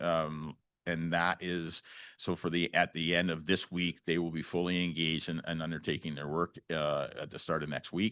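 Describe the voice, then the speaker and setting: Against a quiet background, a man with a Canadian accent speaks in a very deep, low pitch, the sound dry and close with no echo. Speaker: county official presenting to council. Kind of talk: presentation to municipal council. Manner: fast; halting, many fillers and restarts.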